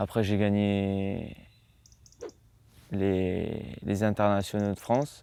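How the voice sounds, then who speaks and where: In a dark, mellow tone, a man speaks at a fairly low pitch and a very slow pace, with fairly even intonation and long, frequent pauses. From Marseille, France (born in the United States). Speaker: professional golfer. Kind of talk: interview answer. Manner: casual, hesitant.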